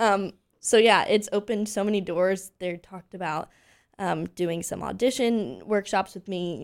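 In a very clean recording with a silent background, a woman with an American accent and vocal fry speaks at a moderate pace with ordinary pitch variation. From Pennsylvania, Lancaster. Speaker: singer, actress and voice teacher. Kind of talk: interview.

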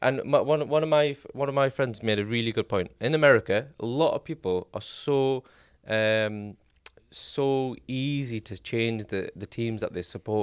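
The man has a plain, everyday voice, at a medium pitch with ordinary pitch variation and a moderate pace. The sound is dry and close with no echo, a very clean recording with a silent background. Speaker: podcast co-host.

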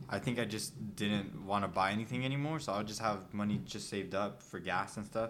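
The speaker talks fairly quickly with vocal fry and hardly any pauses. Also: man, fairly low pitch for a man, ordinary pitch variation. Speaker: podcast host. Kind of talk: casual chat. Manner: casual, swears a lot.

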